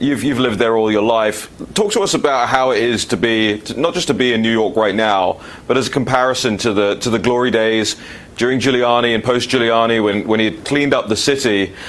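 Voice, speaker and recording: A man in a London accent speaks fairly quickly at a medium pitch, with fairly even intonation and very even loudness. Noticeable background noise sits behind him. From London, England. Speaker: political talk show host. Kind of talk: political talk show. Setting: studio.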